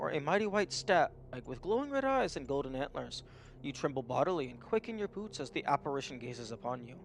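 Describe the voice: This is plain reading aloud. Nothing more is done with the words.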